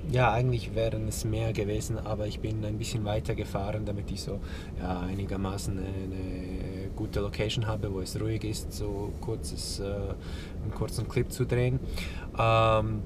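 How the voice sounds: A man's fairly low voice at a moderate pace, with little pitch movement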